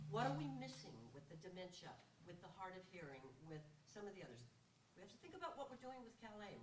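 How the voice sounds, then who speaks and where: A woman at a very fast pace and medium pitch, with very wide pitch swings, big swings in loudness, noticeable background noise, and audible room echo. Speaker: audience member, former health plan executive. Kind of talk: audience question.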